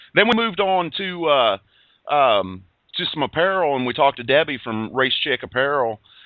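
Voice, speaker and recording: This man's fairly high voice swings very widely in pitch. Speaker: motorsport podcast host. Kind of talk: casual chat. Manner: stutters and stumbles.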